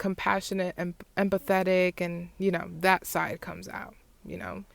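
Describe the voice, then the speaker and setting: A woman at medium pitch and a moderate pace, monotone and flat in intonation, with big swings in loudness. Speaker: podcast host. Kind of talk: casual monologue. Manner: halting.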